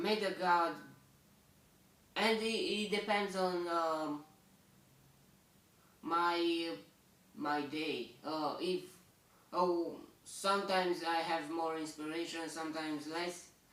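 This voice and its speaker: In a Romanian accent, a man speaks very slowly at a high pitch, pausing long and often. His intonation stays fairly even, and the room echo is audible. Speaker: bible reader. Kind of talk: bible commentary. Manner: halting, many fillers.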